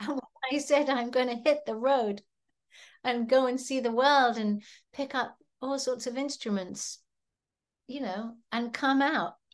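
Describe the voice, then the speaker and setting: In an English accent, a woman with a high pitch speaks at a fairly slow pace, leaving long, frequent pauses against a quiet background. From England, seaside village. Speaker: musician. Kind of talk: interview.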